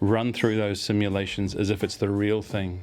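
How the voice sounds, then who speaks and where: A man with a New Zealand accent and fairly even intonation, music playing behind him. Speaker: agile consultant. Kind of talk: expert advice talk to camera.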